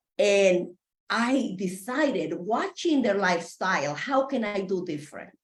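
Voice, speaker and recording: A woman with an unremarkable speaking voice, medium pitch, lively intonation and a moderate pace. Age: 60s. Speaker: patient advocate. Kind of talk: testimony. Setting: video call.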